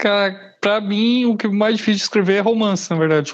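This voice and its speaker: A man is talking. He keeps a fairly even intonation. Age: 30s. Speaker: horror fiction writer. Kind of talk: casual interview.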